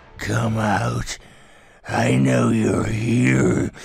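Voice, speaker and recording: A put-on character voice, raspy and menacing in tone, lurches through very wide pitch swings. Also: man, very deep, low pitch for a man. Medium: voice reel. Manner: menacing, taunting.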